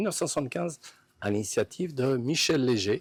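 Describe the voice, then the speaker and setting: In a very clean recording with a silent background and a dry, close sound with no echo, a man at medium pitch talks at a fairly quick pace with very wide pitch swings. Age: 60s. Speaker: sports fan. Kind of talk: interview. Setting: outdoors. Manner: halting. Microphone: distorted, clipping audio.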